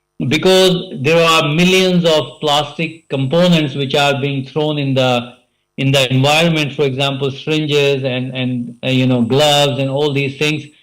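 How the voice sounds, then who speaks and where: Audible room echo around a man with fairly even intonation and hardly any pauses. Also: fairly high pitch for a man. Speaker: conference speaker, healthcare researcher. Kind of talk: conference presentation. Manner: fast; hesitant, many fillers.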